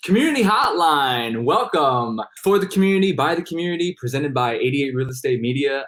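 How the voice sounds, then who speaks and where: Noticeable background noise sits behind a man with a fairly high pitch. He speaks at a fairly quick pace with lively intonation and hardly any pauses. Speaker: podcast host. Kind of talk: interview host questions.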